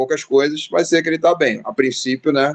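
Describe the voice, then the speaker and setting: This man has a fairly high pitch. His pace is moderate. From Rio de Janeiro, Brazil. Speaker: pastor and theology teacher. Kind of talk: casual chat. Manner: halting, many fillers.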